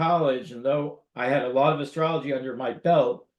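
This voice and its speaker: An unremarkable speaking voice from a man, fairly high in pitch, fairly quick in pace, with fairly even intonation. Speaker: interviewer, astrologer. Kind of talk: interview questions.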